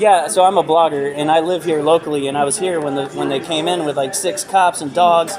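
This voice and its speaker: A man with an American accent talks at a fairly quick pace with hardly any pauses. His intonation is fairly even, and music plays in the background. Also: fairly high pitch for a man. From Miami. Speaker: blogger. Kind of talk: street interview. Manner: casual, filler-heavy ("like").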